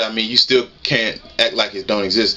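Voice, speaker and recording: A man speaks against noticeable background noise. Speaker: YouTuber. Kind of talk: casual commentary vlog. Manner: fast; animated.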